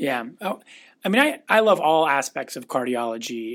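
In a very clean recording with a silent background, a man with an American accent and a plain, everyday voice speaks at a moderate pace and a fairly high pitch. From US Pacific Northwest (Renton, Washington). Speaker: cardiologist. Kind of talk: casual interview.

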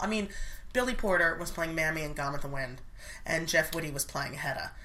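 Speaking at a fairly quick pace with lively intonation, a woman with a fairly low pitch is heard over noticeable background noise and audible room echo. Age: 30s. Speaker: actress and dialect coach. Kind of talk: casual chat.

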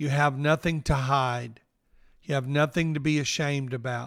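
A man talks in a Southern US accent at a fairly slow pace and a fairly high pitch. The recording is very clean with a silent background. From northeast Mississippi. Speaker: pastor and podcast host. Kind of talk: devotional podcast talk, personal reflection.

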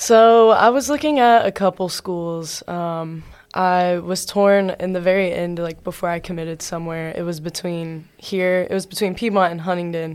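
A woman with an American accent and an ordinary speaking voice talks at a moderate pace with hardly any pauses, fairly low in pitch with ordinary pitch variation, on a very clean recording with a silent background. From US South, Georgia. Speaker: college athlete. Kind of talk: interview.

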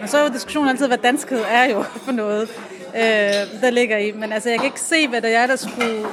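A woman at a fairly high pitch and fairly quick pace, with noticeable background noise. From Aarhus, Denmark. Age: 30s. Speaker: café patron, lab technician. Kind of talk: casual interview. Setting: café.

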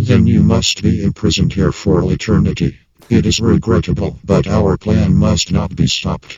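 Putting on a character voice, a man speaks with very deep, low pitch, very wide pitch swings and a moderate pace. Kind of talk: comic sci-fi sketch.

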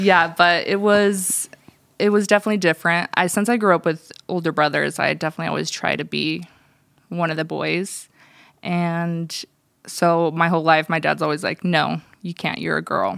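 The recording is very clean with a silent background. A woman with a fairly low pitch and an ordinary speaking voice talks at a moderate pace with fairly even intonation. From US, Russian immigrant family. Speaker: church staff member. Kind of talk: casual chat.

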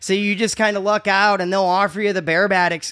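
A man's raised, projected voice, high-pitched with a bright, sharp tone, at a very fast pace. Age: 40s. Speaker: comedian and podcast host, military veteran. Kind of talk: casual comedic chat. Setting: strip club venue.

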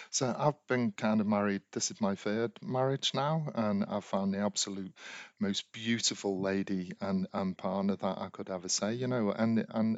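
A man with a British accent and fairly low pitch, ordinary pitch variation and a moderate pace. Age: 40s. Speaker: podcast host, life coach. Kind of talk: monologue podcast, advice.

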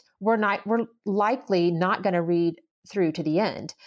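With an ordinary speaking voice, a woman talks at medium pitch and a moderate pace in an American accent over a quiet background. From US South. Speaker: literary agent. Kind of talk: interview on writing.

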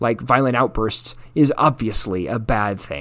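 Speaking at a fairly slow pace, a man uses lively intonation in a plain, everyday voice. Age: 40s. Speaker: solo podcaster. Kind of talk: personal monologue. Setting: home kitchen with dog in background.

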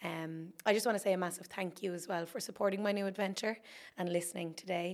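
A woman with an Irish accent talks at a very fast pace. Her medium-pitched voice stays in a monotone, flat intonation. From Ireland, County Wexford. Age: 20s. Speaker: podcast host. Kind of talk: solo monologue.

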